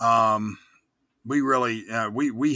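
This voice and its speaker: A man speaks at a medium pitch with a bright, sharp tone and fairly even intonation. The recording is very clean, with a silent background. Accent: American. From Virginia, Newport News area. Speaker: professional wrestler. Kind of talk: casual interview.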